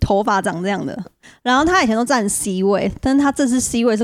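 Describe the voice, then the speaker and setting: Over noticeable background noise, a woman with a fairly high voice talks at a very fast pace with ordinary pitch variation. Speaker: podcast co-host. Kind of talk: casual chat.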